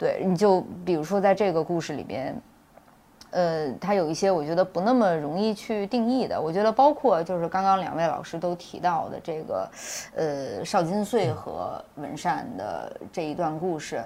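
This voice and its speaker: A woman's fairly low voice, dark and mellow in tone, with lively intonation. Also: moderate pace. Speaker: film director and screenwriter. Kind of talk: panel discussion about own film. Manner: hesitant, repeats words while thinking.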